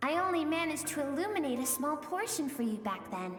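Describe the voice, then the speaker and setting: A put-on character voice at a high pitch and a very fast pace, with clear echo and clear music in the background. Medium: machinima. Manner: friendly, conversational.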